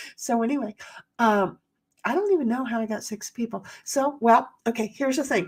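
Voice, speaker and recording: A woman speaks at a fairly quick pace with a fairly high pitch. Her pitch varies an ordinary amount, and music plays in the background. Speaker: live streamer and epoxy crafter. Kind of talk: casual chat. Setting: live stream.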